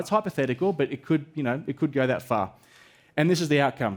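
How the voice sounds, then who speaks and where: A man with an Australian accent, a fairly high pitch and ordinary pitch variation. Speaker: event moderator and research presenter. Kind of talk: conference presentation. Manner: animated.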